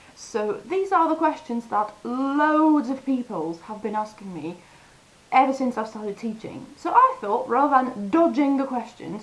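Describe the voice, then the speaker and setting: With very wide pitch swings, a woman speaks in a high voice against noticeable background noise. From France. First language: French. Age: 30s. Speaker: language teacher vlogger. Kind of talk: casual vlog. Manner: animated.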